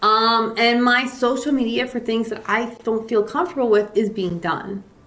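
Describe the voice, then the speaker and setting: A woman with a fairly high pitch and ordinary pitch variation talks against noticeable background noise. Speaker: real estate agent. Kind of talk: casual chat. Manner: fast.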